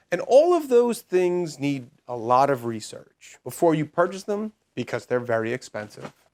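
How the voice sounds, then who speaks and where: A man with a New York accent speaks at a moderate pace in a fairly high voice, his pitch swinging very widely with hardly any pauses. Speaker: homesteading YouTuber and product reviewer. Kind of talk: product review.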